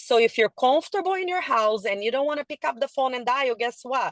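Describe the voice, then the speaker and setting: A woman in an animated tone, high-pitched, with very wide pitch swings. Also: dry, close sound with no echo. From a developing country abroad. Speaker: sales trainer. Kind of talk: motivational sales training talk.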